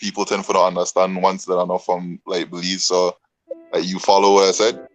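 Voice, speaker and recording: A man speaks with a Caribbean accent at a fairly low pitch. Music plays in the background. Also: dry, close sound with no echo. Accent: Caribbean accent, noticeable. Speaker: podcast co-host. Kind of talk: casual chat. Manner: fast.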